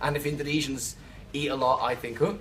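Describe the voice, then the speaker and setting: Speaking at a fairly quick pace, a man with a Liverpool accent talks at a medium pitch. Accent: Liverpool-area English (Scouse). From England, Birkenhead (Merseyside). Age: 30s. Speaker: expat interviewee. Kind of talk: interview answers. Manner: hesitant, many fillers.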